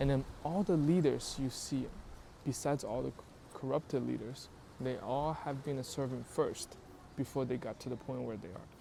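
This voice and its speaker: A non-native accent at a moderate pace. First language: not English. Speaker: YouTube creator. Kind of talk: casual talk to camera. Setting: outdoors in public.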